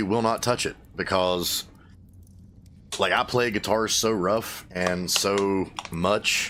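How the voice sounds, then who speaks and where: A man's fairly low voice with an Appalachian accent, very slow and broken by long, frequent pauses, its intonation fairly even and its loudness very even. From US, Appalachia. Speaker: gaming streamer and musician. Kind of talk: casual chat while livestreaming a game. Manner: casual, rambling with fillers.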